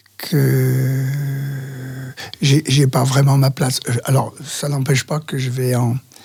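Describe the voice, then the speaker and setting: A fairly high-pitched man speaking at a very slow pace amid noticeable background noise. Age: 70s. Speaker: men's talk group facilitator. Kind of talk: interview answer. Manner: hesitant.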